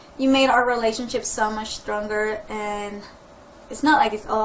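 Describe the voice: A woman's medium-pitched voice with little pitch movement at a moderate pace, amid audible room echo.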